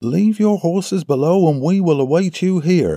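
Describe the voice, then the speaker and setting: A man does a put-on character voice at a high pitch. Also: moderate pace. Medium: read story. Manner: authoritative.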